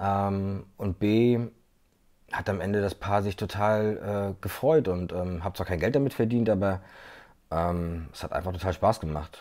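A man's fairly low voice, fairly slow pace and ordinary pitch variation against a quiet background. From Mecklenburg-Vorpommern, Güstrow; Mecklenburg-Vorpommern. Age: 30s. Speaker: videographer; guest. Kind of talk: interview. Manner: hesitant, many fillers. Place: home room. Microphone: earbuds.

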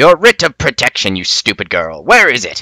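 A growling, put-on character voice moves at a moderate pace. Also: man, fairly high pitch for a man. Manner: snarling, demanding.

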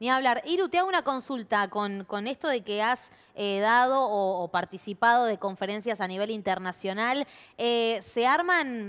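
A woman's lively intonation carries along at a moderate speed. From Argentina. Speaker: TV show host; show host. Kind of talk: interview. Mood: friendly, casual. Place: studio.

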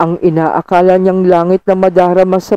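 The speaker is reading aloud. The voice is natural.

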